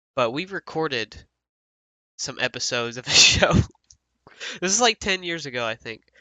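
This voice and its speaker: A man with an American accent speaks at a moderate pace, his pitch fairly high. His pitch swings very widely, broken by long, frequent pauses. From US South. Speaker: podcast host. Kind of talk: casual chat.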